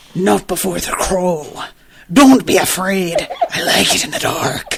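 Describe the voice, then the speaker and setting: At a middle pitch, someone performs a put-on character voice at a fairly slow pace. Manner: exaggerated, unnecessary.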